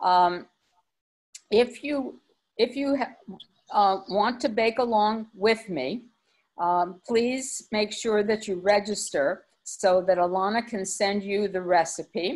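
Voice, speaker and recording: A woman talks very slowly with ordinary pitch variation. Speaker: kosher caterer and cookbook author; cooking class host. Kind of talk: lecture. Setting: video call. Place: home room. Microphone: video call.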